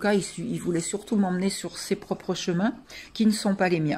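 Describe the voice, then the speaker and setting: In a dark, mellow tone, a woman talks at a fairly low pitch. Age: 60s. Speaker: coaching client giving a testimonial. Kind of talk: testimony. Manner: hesitant, many fillers.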